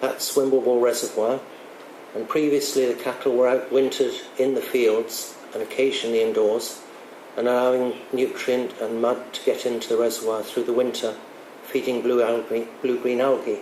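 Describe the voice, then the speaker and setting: A man speaks at a moderate pace in a flat, monotone delivery. The room echo is audible, and background noise is noticeable. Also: medium pitch for a man. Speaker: water industry manager. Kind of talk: conference talk.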